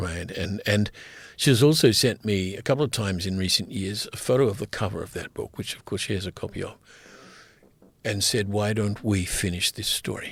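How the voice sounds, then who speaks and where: With an Australian accent, a man talks at a fairly quick pace with a fairly low pitch, ordinary pitch variation and a somewhat breathy quality. The recording is very clean, with a silent background. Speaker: writer and poet. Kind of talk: podcast interview. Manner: hesitant, many filler words.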